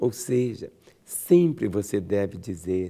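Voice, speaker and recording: In a dark, mellow tone, a man speaks with lively intonation. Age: 60s. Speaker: pastor. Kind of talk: sermon. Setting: radio program.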